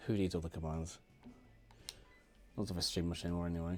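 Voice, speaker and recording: With music in the background, a man speaks in a very deep, low pitch and a monotone, flat intonation. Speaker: gaming streamer. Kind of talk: live game stream chat. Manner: casual, hesitant with ums.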